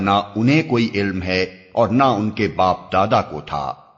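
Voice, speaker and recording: A man with a plain, everyday voice speaks with lively intonation. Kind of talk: scripture translation reading.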